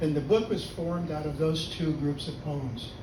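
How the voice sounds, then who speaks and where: Amid noticeable background noise and audible room echo, a man with an American accent speaks at a fairly high pitch with fairly even intonation. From US West Coast (Los Angeles). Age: 80s+. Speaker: poet. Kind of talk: poetry reading.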